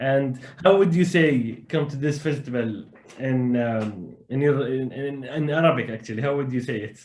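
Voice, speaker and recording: Audible room echo and noticeable background noise are present. Within them, a man speaks at a moderate pace. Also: medium pitch for a man, ordinary pitch variation. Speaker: interviewer, beatboxer. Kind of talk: interview. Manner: animated.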